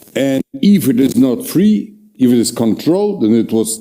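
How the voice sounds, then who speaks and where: Talking at a fairly slow pace with a Russian accent, a man uses lively intonation and a dark, mellow tone. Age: old. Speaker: historian, professor. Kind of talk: lecture. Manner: halting, many fillers.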